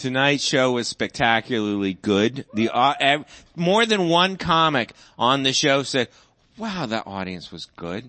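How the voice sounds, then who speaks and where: A man's medium-pitched voice at a fairly slow pace, with very wide pitch swings. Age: 50s. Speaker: comedy show host. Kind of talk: casual chat.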